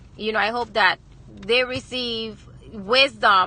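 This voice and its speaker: Bright and sharp in tone, a woman's voice carries a Virgin Islands accent and fairly even intonation. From US Virgin Islands, Saint Croix. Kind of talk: inspirational livestream talk. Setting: live video stream, lunch break. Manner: hesitant, many fillers.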